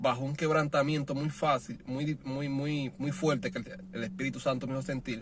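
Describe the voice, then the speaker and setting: At a fairly slow pace, a man with a fairly high pitch and ordinary pitch variation talks over noticeable background noise. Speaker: preacher. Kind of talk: sermon. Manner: halting.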